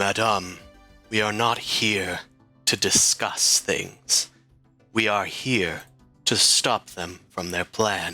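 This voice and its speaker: In a put-on character voice, a man bellows in a raspy, fairly low pitch at a very slow pace with long, frequent pauses, as faint music plays in the background. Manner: commanding, declarative.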